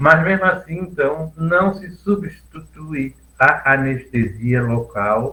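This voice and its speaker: At a very slow pace, a man speaks with a fairly high pitch and a bright, sharp tone. His intonation is lively, with big swings in loudness. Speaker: dentist lecturer. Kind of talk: lecture.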